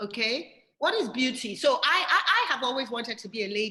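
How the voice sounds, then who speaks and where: A woman's high-pitched voice with a bright, sharp tone. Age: 60s. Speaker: interviewer. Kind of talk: interview.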